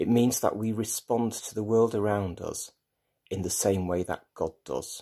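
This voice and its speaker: A man's fairly low, dark and mellow voice, with ordinary pitch variation, a fairly slow pace and a quiet background. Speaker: lay preacher. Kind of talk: sermon. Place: home room. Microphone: phone near.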